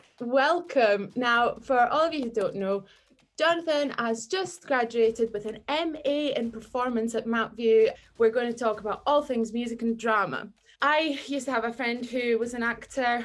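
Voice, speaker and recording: A woman's high-pitched voice at a moderate pace with ordinary pitch variation. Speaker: talk show host. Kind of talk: casual podcast interview.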